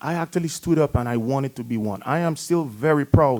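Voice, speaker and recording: Speaking at a fairly quick pace, a man with an American accent uses lively intonation at medium pitch. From outside the US. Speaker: town council member. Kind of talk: council meeting remarks. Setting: council chamber meeting. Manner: halting.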